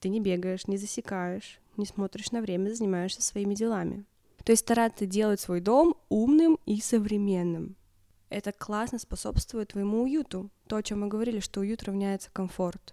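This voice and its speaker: At a moderate pace, a woman speaks in a medium pitch with ordinary pitch variation and a dark, mellow tone. The sound is dry and close, with no echo. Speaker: podcast co-host. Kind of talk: casual chat. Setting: recording at home.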